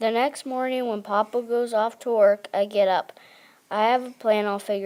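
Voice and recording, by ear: The text is read aloud in a natural voice.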